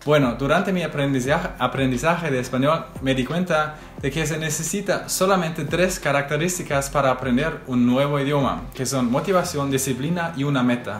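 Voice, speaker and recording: Amid audible room echo and light background noise, a man with a fairly high pitch talks at a moderate pace with hardly any pauses. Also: ordinary pitch variation. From Germany. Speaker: veterinary student and language learner; language learner vlogger. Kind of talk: vlog talk to camera. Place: home room.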